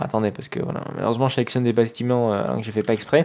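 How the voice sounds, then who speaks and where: A man talks at medium pitch. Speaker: gaming youtuber. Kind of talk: let's play commentary. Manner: fast; hesitant, many fillers.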